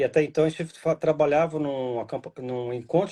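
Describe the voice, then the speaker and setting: A man with a fairly high pitch and a dark, mellow tone. His pitch varies in an ordinary way. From Brazil, interior of São Paulo state. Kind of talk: casual chat.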